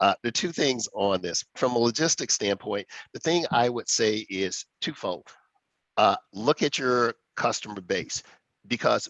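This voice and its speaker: An ordinary speaking voice talks at a fairly slow pace, with a dry, close sound that has no echo. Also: man. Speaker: corporate executive, webinar panelist. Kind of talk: webinar panel discussion. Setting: online webinar.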